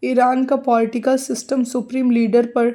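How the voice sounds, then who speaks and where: A woman's dark, mellow voice in a monotone, flat intonation, on a very clean recording with a silent background. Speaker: news commentator, video creator. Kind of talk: news analysis narration; emotional religious tribute.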